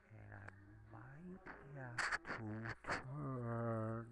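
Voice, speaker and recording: Soft-spoken with lively intonation, a man with a fairly low pitch talks at a very slow pace over noticeable background noise. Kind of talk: casual talk to camera. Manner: quiet, soft-spoken.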